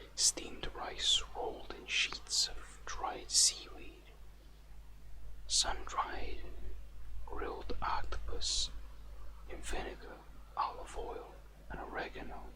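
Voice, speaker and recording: Whispering and soft-spoken, a man talks at a very slow pace with long, frequent pauses over noticeable background noise. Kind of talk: casual talk to camera. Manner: whispery, soft-spoken.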